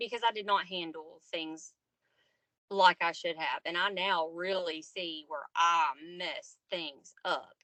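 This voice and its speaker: The woman speaks with a Southern accent. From US South, Arkansas. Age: 30s. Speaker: podcast guest, single mother. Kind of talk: casual interview chat.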